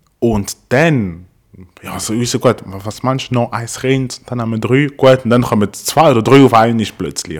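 A man with an ordinary speaking voice talks at a medium pitch with ordinary pitch variation and big swings in loudness. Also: fairly slow pace. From Congo. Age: 30s. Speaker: podcast guest. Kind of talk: casual chat.

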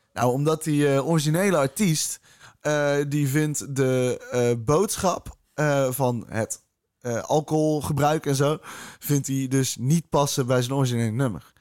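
A man with a fairly high pitch talks very slowly, his pitch varying in an ordinary way. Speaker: podcast host. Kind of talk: casual chat.

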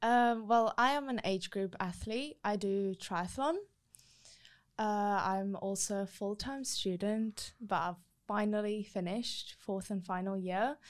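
With an ordinary speaking voice, a woman talks at a fairly slow pace and medium pitch with ordinary pitch variation in a very clean recording with a silent background. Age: 20s. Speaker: triathlete and sport influencer. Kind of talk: casual chat.

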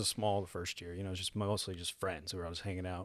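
In a Texan accent, a man talks at a very fast pace on a very clean recording, silent background. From Texas. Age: 30s. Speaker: singer-songwriter. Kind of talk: casual chat. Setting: studio.

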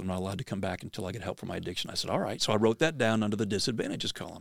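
A man with an American accent talks at a very fast pace with ordinary pitch variation. The sound is dry and close with no echo, in a very clean recording with a silent background. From Pennsylvania. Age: 60s. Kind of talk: inspirational storytelling. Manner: animated.

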